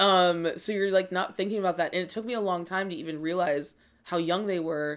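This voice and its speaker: With a Californian accent, the speaker moves at a fairly quick pace and fairly even intonation on a very clean recording with a silent background. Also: woman, medium pitch for a woman. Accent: Californian American. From Los Angeles. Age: 20s. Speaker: talent manager. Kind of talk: casual chat.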